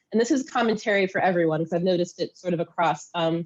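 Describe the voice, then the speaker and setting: A woman talks at a medium pitch with ordinary variation in it. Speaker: pitch judge. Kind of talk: feedback. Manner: fast.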